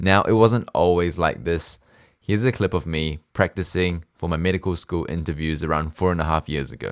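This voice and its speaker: Very deep and low in pitch, a man talks at a fairly quick pace with ordinary pitch variation in a dry, close, echo-free recording with a silent background. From Singapore and New Zealand. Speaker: medical student. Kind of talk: casual talk to camera. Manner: clear.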